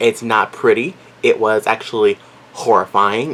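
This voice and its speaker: Through noticeable background noise, a man's voice carries ordinary pitch variation. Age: 20s. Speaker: vlogger. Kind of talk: casual chat. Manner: halting.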